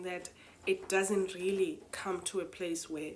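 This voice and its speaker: A woman with a non-native accent and a medium pitch, speaking at a fairly slow pace over noticeable background noise. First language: not English. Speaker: spoken word poet and retreat host. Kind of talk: reflective monologue. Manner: hesitant, many fillers.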